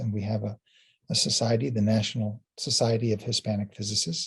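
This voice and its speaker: The man's voice sits at a fairly low pitch and is somewhat breathy. He talks at a fairly quick pace. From US, Illinois, Puerto Rican family. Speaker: physics professor. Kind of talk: interview. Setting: student interview. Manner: hesitant, repeats words.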